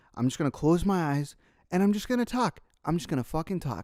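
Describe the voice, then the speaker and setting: Speech at a fairly quick pace comes through a very clean recording with a silent background. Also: man. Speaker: gaming YouTuber and podcast host. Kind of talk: solo podcast monologue. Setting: alone at home with a mic. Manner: casual, heavy swearing.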